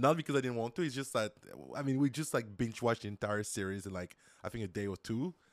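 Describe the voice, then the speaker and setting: A man at a very fast pace, medium-pitched with ordinary pitch variation, his voice dry and close with no echo in a very clean recording over a silent background. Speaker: software developer and YouTuber. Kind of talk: casual chat.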